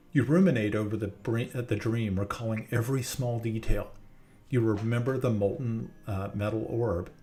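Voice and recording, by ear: The text is read out loud in a voice that sounds natural.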